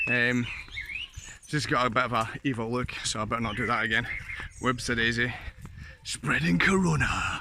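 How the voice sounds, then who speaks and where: A man with a Scottish accent, medium pitch, ordinary pitch variation, a moderate pace broken by long, frequent pauses, plus noticeable background noise and audible room echo. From Scotland. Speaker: vlogger. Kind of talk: casual vlog chat. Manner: casual, meandering.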